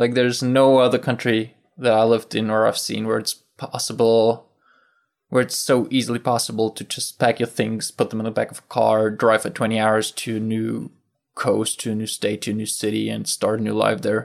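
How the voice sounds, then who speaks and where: A man with a German accent talks at a moderate pace and medium pitch, his intonation flat and monotone. The recording is very clean, with a silent background. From southern Germany. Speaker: former exchange student. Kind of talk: interview testimony.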